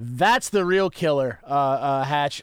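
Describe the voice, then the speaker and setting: A man speaks in a normal speaking voice with an American accent. His pace is fairly slow, with ordinary pitch variation. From West Virginia. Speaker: musician and music producer. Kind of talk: casual chat.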